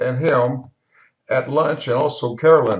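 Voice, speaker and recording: A somewhat breathy man with a West Texas accent, ordinary pitch variation and a moderate pace. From Texas Panhandle, Wellington. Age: 80s+. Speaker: home video narrator. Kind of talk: video voiceover narration. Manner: casual, with hesitations.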